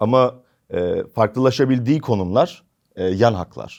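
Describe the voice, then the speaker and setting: Over a quiet background, a man in a normal speaking voice talks at a moderate pace with ordinary pitch variation. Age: 20s. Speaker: catering company executive. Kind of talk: interview.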